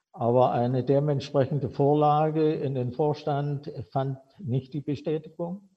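A man talks at a very slow pace in a fairly high pitch. His voice is somewhat breathy, with ordinary pitch variation. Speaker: former factory director. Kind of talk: personal storytelling.

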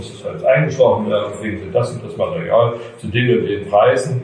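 With noticeable background noise and an audible echo from the room, a man talks at a moderate speed. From Chemnitz, Saxony. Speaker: carpenter. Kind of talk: storytelling talk to school class.

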